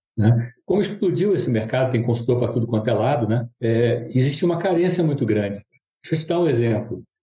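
Somewhat breathy, a man speaks in a medium pitch with a dark, mellow tone and lively intonation. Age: 70s. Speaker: business consultant and mentor. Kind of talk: casual interview conversation.

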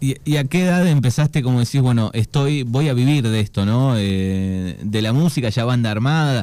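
This man's dark, mellow tone sits at a medium pitch as he talks at a moderate pace. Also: very even loudness. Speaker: radio host. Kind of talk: radio interview. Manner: halting.

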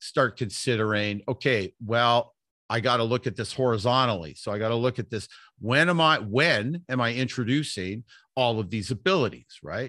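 Over a quiet background, a man with a Western Canadian accent speaks at a moderate pace in a medium-pitched voice with a bright, sharp tone, the sound dry and close with no echo. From Vancouver, Canada. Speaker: athletics coach. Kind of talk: casual interview.

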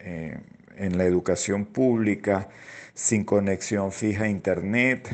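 A man speaks with a fairly low pitch. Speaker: educator and children's rights advocate. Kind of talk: radio interview. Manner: halting, many fillers.

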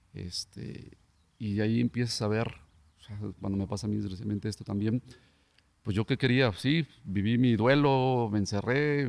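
A man's fairly low voice at a moderate pace with ordinary pitch variation, in a dry, close sound with no echo. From Mexico, Tlaquepaque, Jalisco. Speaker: former professional footballer. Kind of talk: casual interview chat.

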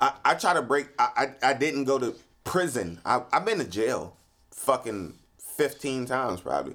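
A man's bright, sharp voice with vocal fry and lively intonation, at a moderate pace. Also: medium pitch for a man. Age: 30s. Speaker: podcast host. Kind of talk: casual chat. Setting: studio. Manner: repetitive stammering.

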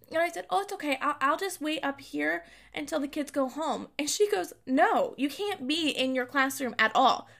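A woman speaks in a bright, sharp tone with a high pitch and a raised, projected voice at a moderate pace. The recording is very clean, with a silent background. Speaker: podcast host, special education teacher. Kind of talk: casual monologue.

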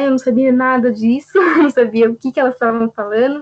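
The woman's pitch is high. She talks at a moderate pace. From Jundiaí, São Paulo state, Brazil. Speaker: documentation assistant. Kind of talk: interview testimony.

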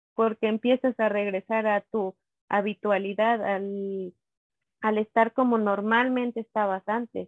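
At a fairly slow pace, a woman speaks in a fairly high, plain, everyday voice with fairly even intonation. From Mexico, Teocelo, Veracruz. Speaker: mother sharing postpartum depression experience. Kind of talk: testimony.

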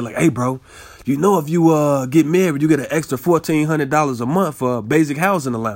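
This man talks at a very fast pace. His fairly high pitch shows ordinary pitch variation. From Chicago. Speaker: podcast host and rapper. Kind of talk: personal storytelling monologue. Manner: casual, animated.

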